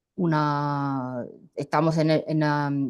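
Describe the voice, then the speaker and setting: The woman's pitch is very deep and low. She speaks at a very slow pace with fairly even intonation. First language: Italian (speaking Spanish). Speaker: journalist. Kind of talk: panel discussion. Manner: halting.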